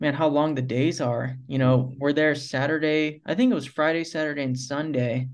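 At a fairly quick pace, a man with an ordinary speaking voice and a fairly high pitch talks with an American accent. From US South, Tallahassee, Florida. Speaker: professional off-road motorcycle racer. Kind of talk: casual interview.

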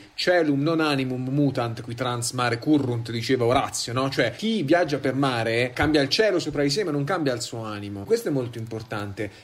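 The intonation is lively and the pace fairly quick. Background noise is noticeable. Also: man. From Perugia, Umbria. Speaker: university student. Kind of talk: casual chat.

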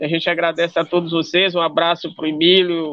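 This man's voice sits high in pitch and stays monotone, with flat intonation throughout. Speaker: quilombola movement organizer. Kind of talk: interview.

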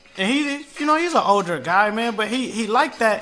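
The voice is raised and projected, with an animated tone at a very fast pace. Noticeable background noise runs underneath. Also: man. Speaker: podcast host. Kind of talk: radio dj patter; storytelling casual. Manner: animated, high-energy; casual slangy.

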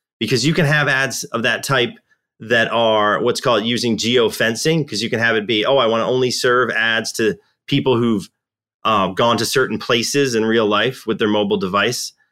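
A bright, sharp tone with ordinary pitch variation and very even loudness, in a very clean recording over a silent background. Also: man, medium pitch for a man, moderate pace. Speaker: marketing strategist. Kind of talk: roundtable discussion.

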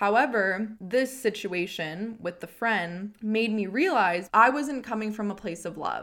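Speaking with a Canadian accent in a normal speaking voice, the speaker moves at a fairly slow pace with hardly any pauses and ordinary pitch variation, on a very clean recording with a silent background. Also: woman, fairly high pitch for a woman. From Canada, Edmonton, Alberta. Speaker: podcast host, mindfulness and self-help. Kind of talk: casual monologue, spiritual self-help.

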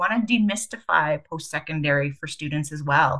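With a Canadian Prairies accent, a woman speaks in a very deep, low voice. Her tone is bright and sharp, and her intonation is lively. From Canada, Winnipeg, Manitoba. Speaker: charity CEO. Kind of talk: interview.

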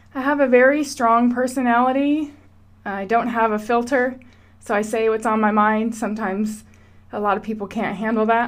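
Her pitch fairly high, a woman uses a normal speaking voice at a moderate pace with fairly even intonation. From Washington State, US. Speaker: podcaster. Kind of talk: personal monologue.

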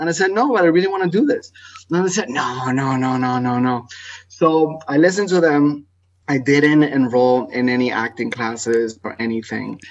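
With lively intonation, a man talks at a moderate pace and a fairly high pitch. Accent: Spanish. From Ecuador. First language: Spanish. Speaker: theater artist. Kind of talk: radio interview.

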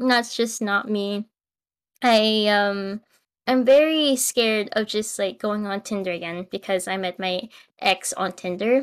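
Over a very clean recording with a silent background, a woman with an ordinary speaking voice speaks at a fairly slow pace, her fairly high pitch showing ordinary variation. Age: 20s. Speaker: podcast co-host. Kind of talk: casual chat.

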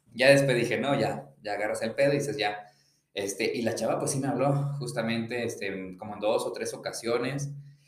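At a fairly quick pace and with ordinary pitch variation, the speech carries audible room echo. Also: man, medium pitch for a man. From Mexico, León, Guanajuato. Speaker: podcast co-host. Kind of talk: casual chat.

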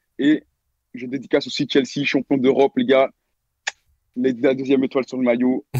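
In a dry, close sound with no echo, a man of medium pitch talks at a moderate pace with fairly even intonation and long, frequent pauses. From Belgium. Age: young. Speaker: caller telling a story. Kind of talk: storytelling. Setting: online voice call.

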